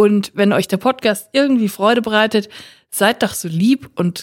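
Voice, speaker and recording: In a dry, close sound with no echo, a woman speaks at a moderate pace in a medium pitch with ordinary pitch variation, an unremarkable speaking voice. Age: 30s. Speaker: podcast co-host. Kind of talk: casual chat.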